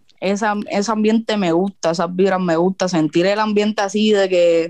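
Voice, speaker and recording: A woman with a Puerto Rican accent, medium pitch, fairly even intonation and moderate pace, in a dry, close sound with no echo. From Puerto Rico. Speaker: freestyle rapper. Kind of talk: interview.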